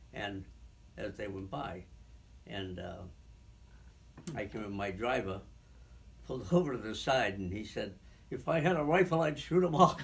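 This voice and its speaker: With an Eastern New England accent, a man talks in very wide pitch swings and big jumps in loudness. Long, frequent pauses break his speech over noticeable background noise. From Franklin, Massachusetts. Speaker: shoe store owner, Korean War veteran. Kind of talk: oral history interview answer.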